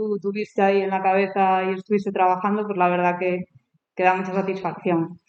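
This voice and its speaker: Fairly quick in pace, a woman speaks at a medium pitch. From Galicia, Spain. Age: 30s. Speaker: novelist and journalist. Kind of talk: author talk at a school.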